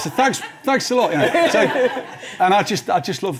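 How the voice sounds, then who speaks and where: This man rushes along at a very fast pace while noticeable background noise plays behind him. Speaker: TV writer. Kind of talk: live TV interview. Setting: studio with live audience. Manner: halting, many repeated words.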